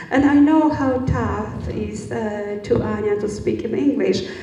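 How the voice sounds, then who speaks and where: The speaker talks at a fairly slow pace, with audible room echo and light background noise. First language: Polish. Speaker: event moderator. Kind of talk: panel discussion. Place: hall. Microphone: handheld.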